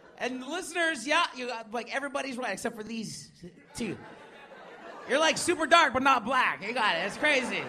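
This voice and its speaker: A raised, projected voice at a fairly quick pace with ordinary pitch variation, over noticeable background noise. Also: man, extremely high pitch for a man. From Manitoba reserve, Canada. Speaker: comedian and radio DJ. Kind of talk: stand-up and panel chat. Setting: stage with audience.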